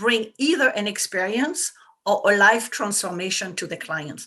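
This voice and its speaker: A woman with a French accent, medium pitch and a bright, sharp tone. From France. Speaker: business coach for women entrepreneurs. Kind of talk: interview. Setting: talk radio show.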